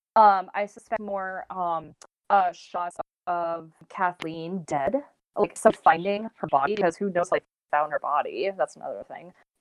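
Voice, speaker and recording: In an unremarkable speaking voice, a woman talks at a fairly slow pace and medium pitch with ordinary pitch variation. Her loudness swings widely. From Texas. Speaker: podcast guest. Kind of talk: casual chat.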